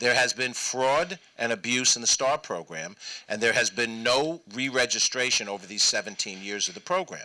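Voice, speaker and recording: A man with a New York accent and lively intonation. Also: medium pitch for a man, moderate pace. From New York, Westchester County. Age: 60s. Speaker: state senator. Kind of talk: public talk.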